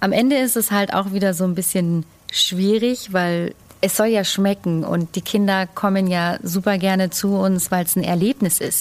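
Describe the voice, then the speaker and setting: A woman at a medium pitch, with fairly even intonation, very even loudness and a plain, everyday voice. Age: young. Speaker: head chef. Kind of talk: casual chat.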